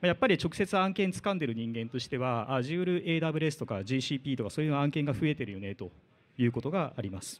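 Rushing at a very fast pace, a man talks with very wide swings in pitch. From Japan. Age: 40s. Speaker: IT division manager; conference speaker. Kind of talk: lightning talk. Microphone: handheld.

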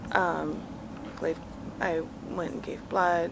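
A woman speaks while noticeable background noise continues around her. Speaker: vlogger mom. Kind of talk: casual vlog chat. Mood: calm, slightly emotional. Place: garden. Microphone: phone near.

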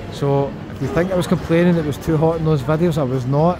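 Here a man talks at a fairly quick pace. Noticeable background noise runs underneath. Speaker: travel vlogger. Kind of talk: casual vlog chat. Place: hall. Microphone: phone near.

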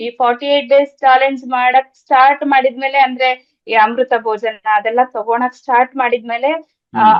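A woman's high-pitched voice holds a monotone, flat intonation. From Karnataka, Thirthahalli (Shivamogga district). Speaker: yoga nidra practitioner and healer. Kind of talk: testimony. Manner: halting.

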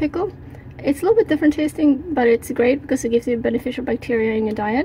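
Noticeable background noise sits behind a woman speaking. Her voice is high, with ordinary pitch variation. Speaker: home cook vlogger. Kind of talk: casual vlog chat. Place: kitchen. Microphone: phone near.

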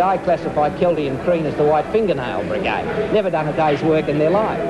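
Noticeable background noise sits under speech delivered at a fairly quick pace with ordinary pitch variation. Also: man. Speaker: politician. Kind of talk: interview answer. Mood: jovial, grinning. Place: bar.

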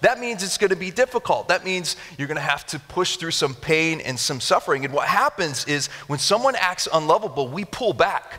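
With an American accent, a man talks in an animated tone at a fairly quick pace, his high voice making very wide pitch swings. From Japan (missionary kid). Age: 30s. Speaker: pastor. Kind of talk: sermon. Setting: church with live audience. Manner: animated, conversational. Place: church. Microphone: headset.

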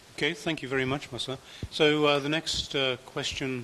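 Over light background noise, a man talks at a moderate pace. His fairly high pitch stays flat and monotone. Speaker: conference chair, moderator. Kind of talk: moderating Q&A. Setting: conference hall. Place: hall. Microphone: podium.

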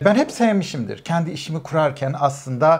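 Fairly quick, somewhat breathy speech from a man. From Turkey. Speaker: immigrant professional; interview guest. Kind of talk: casual chat. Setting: at home. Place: studio. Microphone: lapel.

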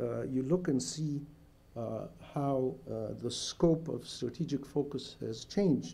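Dark, mellow tone from a man, with ordinary pitch variation. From Egypt. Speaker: professor. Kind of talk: lecture. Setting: stage with audience. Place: hall. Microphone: podium.

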